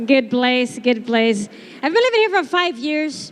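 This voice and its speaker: With a Brazilian accent, a woman speaks at a high pitch and a very slow pace over crowd noise in the background. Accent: Brazilian accent, noticeable. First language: Portuguese. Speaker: stand-up comedian. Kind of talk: stand-up. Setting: stage with audience.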